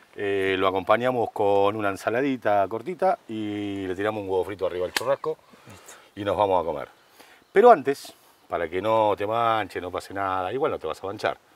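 The speaker has a Rioplatense accent and talks at a fairly quick pace with fairly even intonation. The sound is dry, with no echo. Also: man, fairly low pitch for a man. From Argentina. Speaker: cooking show host. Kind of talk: casual chat; cooking demonstration. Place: garden.

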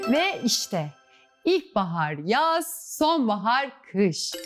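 A woman speaking with clear music in the background. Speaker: quiz show host. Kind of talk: children's TV presenting. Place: studio. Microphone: lapel.

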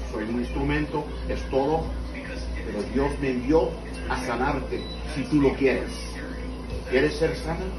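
A man talks fairly slowly, and noticeable background noise is present throughout. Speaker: preacher praying for healing. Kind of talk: fervent healing prayer. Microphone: camera far.

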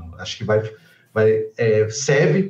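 A man speaks in a somewhat breathy voice with audible room echo. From João Pessoa, Brazil. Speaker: guest commentator. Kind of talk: casual political commentary. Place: home room. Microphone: webcam.

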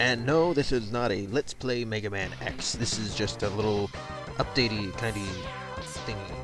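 The voice moves at a moderate pace in a dry sound with no echo, with clear music in the background. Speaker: let's play gamer. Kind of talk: casual game commentary. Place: home room.

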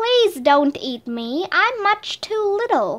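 A woman's put-on character voice at an extremely high pitch, very slow, with very wide pitch swings. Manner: pleading, timid.

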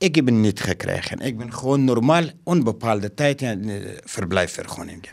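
A man talks with lively intonation at a moderate pace, the background quiet. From Afghanistan. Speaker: school caretaker and refugee. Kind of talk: interview; interview answer. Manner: halting. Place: office. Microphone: handheld.

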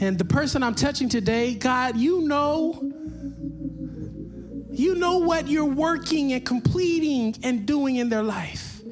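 Clear music plays in the background as a man speaks. His pace is slow and his intonation lively.

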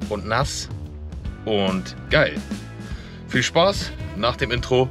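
A man speaks very slowly at a fairly low pitch while clear music plays in the background. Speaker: fitness vlogger. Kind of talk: casual vlog chat. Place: car. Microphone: phone near.

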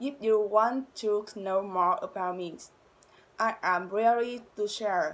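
Her pitch fairly high and its variation ordinary, a woman speaks in a Vietnamese accent. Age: 20s. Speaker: university student. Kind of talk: self-introduction to camera. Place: home room. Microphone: phone near.

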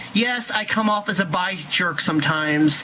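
A man uses a raised, projected voice at a high pitch, with ordinary pitch variation. Noticeable background noise runs underneath. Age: 20s. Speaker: YouTube vlogger. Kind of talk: angry rant to camera. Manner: angry, loud.

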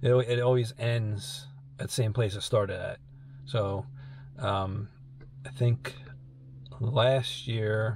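Light background noise sits behind a man speaking at a very slow pace. He leaves long, frequent pauses. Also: fairly even intonation, dry sound with no echo. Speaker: car hobby vlogger. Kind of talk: casual vlog chat. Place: car. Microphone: phone near.

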